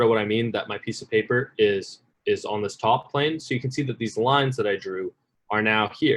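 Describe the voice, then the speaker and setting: A man with a medium pitch uses a normal speaking voice and keeps a moderate pace. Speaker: workshop instructor. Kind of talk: tutorial.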